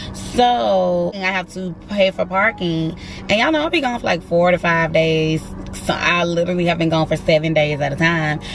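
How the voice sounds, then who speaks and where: Recorded with a dry sound with no echo and noticeable background noise, the speech runs at a moderate pace. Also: woman. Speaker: flight attendant vlogger. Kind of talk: casual vlog chat. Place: car. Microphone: phone near.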